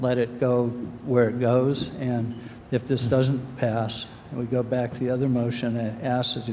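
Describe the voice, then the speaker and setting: Against noticeable background noise, a man with a medium pitch speaks in a monotone, flat way. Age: 60s. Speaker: resident speaking at town meeting. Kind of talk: public comment at town meeting.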